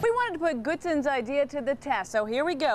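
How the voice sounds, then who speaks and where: Fairly quick and lively in intonation, a woman speaks at a high pitch against noticeable background noise. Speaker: TV news anchor and reporter. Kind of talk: TV news reporter package.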